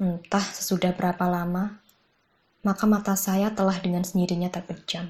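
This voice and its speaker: A somewhat breathy woman's voice at a medium pitch and a moderate pace. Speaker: audiobook narrator. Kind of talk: literary audiobook reading of a short story. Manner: narrative, conversational storytelling with wry humor; shifts tone to voice characters in dialogue, animated.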